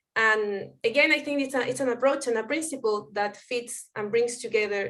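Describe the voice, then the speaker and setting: Moderate-paced speech with a Spanish accent. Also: woman. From Chile. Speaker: anthropologist and researcher. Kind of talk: conference talk. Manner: halting, with fillers.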